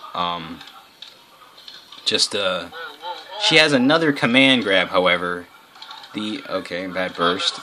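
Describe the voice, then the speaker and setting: A man's voice at a fairly slow pace, lively in intonation, over noticeable background noise. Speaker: gaming video commentator. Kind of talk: gameplay commentary. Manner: halting, many fillers and restarts.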